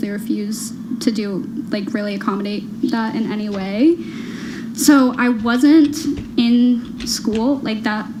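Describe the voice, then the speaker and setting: Amid noticeable background noise and audible room echo, a woman with a fairly high pitch speaks at a fairly slow pace with fairly even intonation. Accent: American. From US Midwest, Illinois. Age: 20s. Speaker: reality show contestant. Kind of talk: personal interview, telling her story. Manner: halting, many fillers; giggles while telling.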